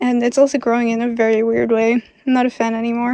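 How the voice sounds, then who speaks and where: Recorded with a dry, close sound and no echo, a woman speaks in a high, flat monotone. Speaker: travel and lifestyle vlogger. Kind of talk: casual vlog apartment tour. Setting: outdoors on a balcony.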